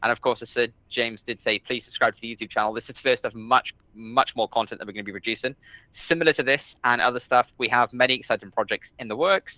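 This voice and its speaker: A man with a British accent speaks very fast at a medium pitch, with ordinary pitch variation and big swings in loudness. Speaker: podcast co-host. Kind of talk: casual chat.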